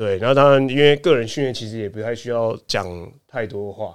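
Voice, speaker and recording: In a very clean recording with a silent background, a man talks at a fairly quick pace with ordinary pitch variation and a plain, everyday voice. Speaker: basketball skills trainer. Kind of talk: casual interview.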